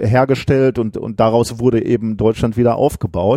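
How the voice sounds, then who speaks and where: A man's dark, mellow tone at a moderate pace, dry and close with no echo, in a very clean recording with a silent background. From Ruhr area, Germany. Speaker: physicist and science podcaster. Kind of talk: casual chat. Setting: office.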